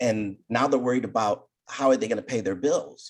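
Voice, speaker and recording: This man has a normal speaking voice at a medium pitch, with ordinary pitch variation. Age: 60s. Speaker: business speaker and author. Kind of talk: interview.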